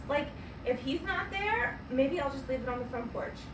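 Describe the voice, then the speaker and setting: Against noticeable background noise, a woman talks at a moderate pace in a high pitch. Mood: annoyed, exasperated. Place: home room.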